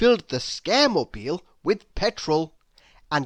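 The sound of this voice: An unforced reading voice reads throughout.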